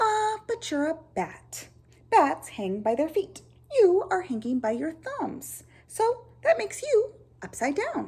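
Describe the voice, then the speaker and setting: A woman speaks loudly and fairly slowly in a put-on character voice at an extremely high pitch. Her pitch swings very widely. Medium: read story. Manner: blunt, matter-of-fact.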